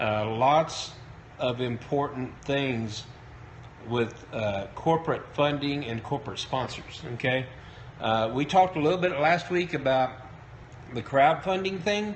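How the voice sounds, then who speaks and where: A man with a fairly high pitch talks with lively intonation, broken by long, frequent pauses. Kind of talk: live-stream talk. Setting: live broadcast on Periscope. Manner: hesitant, many fillers.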